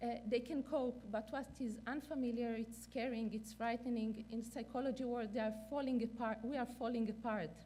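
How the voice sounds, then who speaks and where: A woman with a non-native accent speaks at a moderate pace and fairly high pitch in a monotone, flat intonation, with hardly any pauses and audible room echo. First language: not English. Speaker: neonatal clinician and researcher. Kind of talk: conference lecture. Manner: halting, many fillers.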